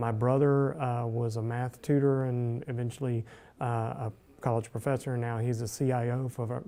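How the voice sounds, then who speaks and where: The voice has a dark, mellow tone, a moderate pace and monotone, flat intonation. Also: man. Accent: Southern US. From US South, Alabama (Dothan). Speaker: journalism professor. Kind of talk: interview. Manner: halting, many fillers.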